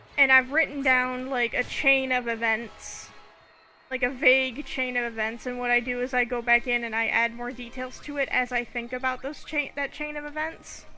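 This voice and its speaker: A woman's relaxed, high-pitched voice with an American accent, flat and monotone in intonation, with music in the background. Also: moderate pace. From Saginaw, Michigan. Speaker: gaming streamer. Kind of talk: casual chat. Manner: relaxed, rambling.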